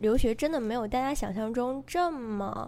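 A woman's fairly high voice with lively intonation at a fairly slow pace, amid audible room echo. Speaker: undergraduate student abroad. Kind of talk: casual chat.

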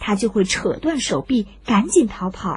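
At a fairly slow pace, a woman speaks in a fairly high, slightly mellow voice with big pitch swings.

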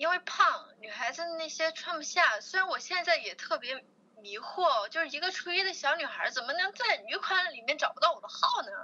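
A woman's raised, projected voice at an extremely high pitch, with very wide pitch swings and a moderate pace. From China, Chongqing. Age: 20s. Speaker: fitness enthusiast, bikini competitor. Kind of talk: interview.

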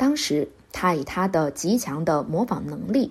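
A woman with a fairly low, somewhat breathy voice talks at a fairly slow pace, her pitch swinging very widely. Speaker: music podcast host. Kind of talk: scripted narration.

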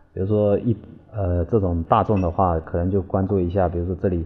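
With music in the background, a man speaks at a fairly quick pace in a very deep, low pitch and fairly even intonation. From Quanzhou, Fujian, China. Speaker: landscape designer. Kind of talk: interview. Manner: halting, repetitive.

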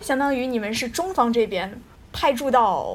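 At a moderate pace, a woman with a slight Taiyuan accent speaks high-pitched, with ordinary pitch variation. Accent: slight Taiyuan tinge in Mandarin. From Taiyuan, Shanxi, northern China. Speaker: podcast host. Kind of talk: casual chat.

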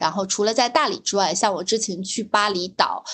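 A woman speaks at a moderate pace in an ordinary speaking voice. Her pitch is medium, with ordinary pitch variation. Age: young. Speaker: podcast co-host. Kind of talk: casual chat.

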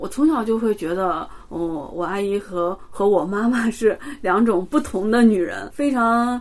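The speaker has a plain, everyday voice and ordinary pitch variation. The pace is fairly slow, with hardly any pauses. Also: woman, medium pitch for a woman. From China, Xi'an. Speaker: postdoctoral chemistry researcher. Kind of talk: interview.

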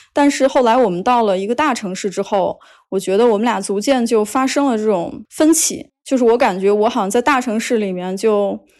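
Over a quiet background, a woman with a fairly high pitch and ordinary pitch variation talks at a fairly quick pace with hardly any pauses. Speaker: podcast guest sharing dating stories. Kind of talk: casual chat. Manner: clear articulation.

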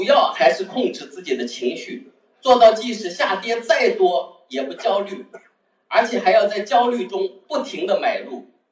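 Speaking at a fairly slow pace, a man is heard. His loudness swings widely. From Wenzhou, Zhejiang, China. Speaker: textile wholesaler, amateur investor. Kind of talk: personal testimony talk.

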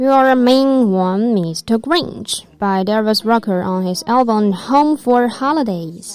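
Speaking with a Chinese accent, a woman uses a fairly high pitch and lively intonation. Her pace is very slow, with hardly any pauses. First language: Mandarin Chinese. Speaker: student radio host. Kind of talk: radio show. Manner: code-switching with fillers.

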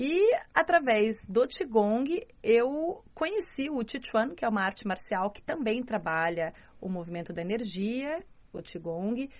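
Speaking with a strong Curitiba accent, a woman talks at a fairly slow pace and a fairly high pitch, with very wide pitch swings and big swings in loudness. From southern Brazil, Curitiba. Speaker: journalist and martial arts student. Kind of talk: interview.

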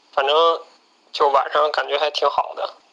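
A man talks at a fairly slow pace, his pitch fairly high. His intonation is monotone and flat, with noticeable background noise behind him. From Northeast China. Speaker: rock climber, student abroad. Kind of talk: recorded personal storytelling. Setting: self-recorded voice message.

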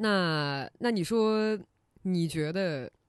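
The tone is animated, set against a quiet background. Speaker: podcast host. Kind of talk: casual interview chat. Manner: animated, laughs often.

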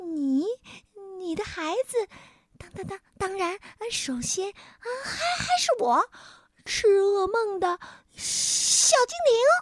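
A woman uses a put-on character voice at an extremely high pitch with lively intonation. She goes at a slow pace with long, frequent pauses in a dry, close sound with no echo.

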